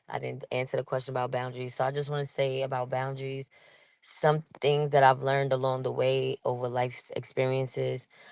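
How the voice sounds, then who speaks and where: A woman in a New York accent talks at a fairly quick pace. Her very deep, low pitch stays monotone and flat. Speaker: podcast guest. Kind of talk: casual chat. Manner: abrasive-sounding.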